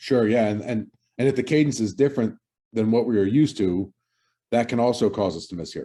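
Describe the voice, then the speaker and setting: A man mumbles in a dark, mellow voice of medium pitch with an American accent. He goes at a fairly quick pace with ordinary pitch variation against a quiet background. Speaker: podcast co-host. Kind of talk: casual chat. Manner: mumbling; halting, many fillers and repeats.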